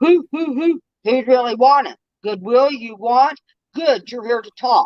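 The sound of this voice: This man uses a put-on character voice. It is pitched extremely high and delivered at a moderate pace.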